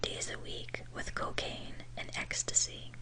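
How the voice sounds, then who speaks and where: Whispered words come at a very slow pace against noticeable background noise. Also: woman. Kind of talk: true crime ASMR narration.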